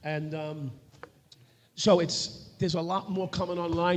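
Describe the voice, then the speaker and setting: A man talks with a New York accent. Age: 60s. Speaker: retired police officer and podcast co-host. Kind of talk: live panel discussion. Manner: halting, many fillers.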